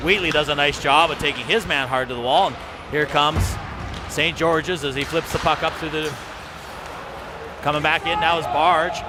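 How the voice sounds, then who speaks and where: Amid noticeable background noise, a man with a fairly high voice speaks with long, frequent pauses. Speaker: hockey play-by-play announcer. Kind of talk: live commentary. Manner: fast; animated.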